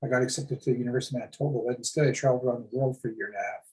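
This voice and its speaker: The man's voice is somewhat breathy and sits at medium pitch. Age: 60s. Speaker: First Nations chief. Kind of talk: casual chat. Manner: halting, many repeated words.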